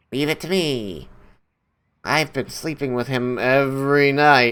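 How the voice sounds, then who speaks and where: In a put-on character voice, a man talks at a fairly slow pace and medium pitch on a very clean recording with a silent background. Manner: cute, cheerful.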